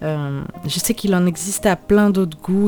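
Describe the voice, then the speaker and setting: With music playing behind her, a woman speaks at a fairly low pitch with ordinary variation. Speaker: cooking youtuber. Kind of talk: tutorial. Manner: casual, hesitant.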